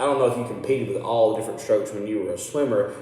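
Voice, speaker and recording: A man with a Southern US accent is heard with audible room echo and noticeable background noise. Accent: US South (Tennessee). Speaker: local radio show host; coach. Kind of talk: casual interview. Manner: loud.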